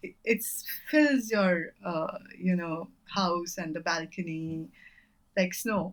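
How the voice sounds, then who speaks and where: A woman speaks at a very slow pace. Her voice sits at a medium pitch with ordinary pitch variation. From India, Bengal roots, grew up in North India. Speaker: poet and former scientist. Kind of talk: interview conversation. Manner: hesitant, many fillers.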